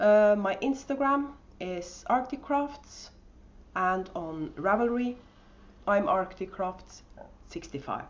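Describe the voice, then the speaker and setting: In a strong Norwegian accent, a woman at medium pitch speaks at a very slow pace with long, frequent pauses. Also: lively intonation. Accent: thick Norwegian. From Norway. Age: 50s. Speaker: podcast host and yarn dyer. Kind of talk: casual podcast monologue. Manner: hesitant, with many fillers.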